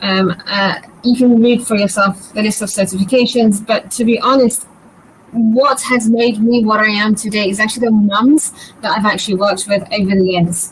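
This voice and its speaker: A woman with a British accent speaks at a moderate pace in a fairly high voice, keeping fairly even intonation and very even loudness despite noticeable background noise. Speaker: birth educator, doula. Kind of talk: live webinar presentation. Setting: online live session.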